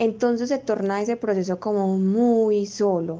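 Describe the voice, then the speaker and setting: A woman speaks with an Antioquian accent. Her tone is dark and mellow. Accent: Colombian paisa Spanish. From Colombia, Medellín. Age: 20s. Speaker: physiotherapist and new mother. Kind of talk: interview testimony.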